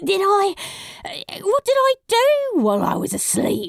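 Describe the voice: A woman uses a put-on character voice at an extremely high pitch with very wide pitch swings. Vocal fry creeps into her delivery. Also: fairly slow pace.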